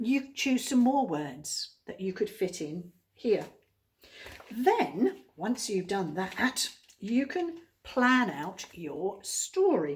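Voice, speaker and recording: A woman's fairly high, somewhat breathy voice with very wide pitch swings, at a very slow pace. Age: old. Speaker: teacher. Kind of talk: tutorial.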